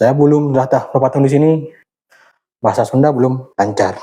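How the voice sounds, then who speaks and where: A man speaks with an Acehnese accent at a medium pitch. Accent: Acehnese accent, may sound harsh to outsiders. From Aceh, Indonesia. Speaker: YouTuber sharing workout routine. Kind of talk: casual vlog talk during exercise. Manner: halting, a bit stiff.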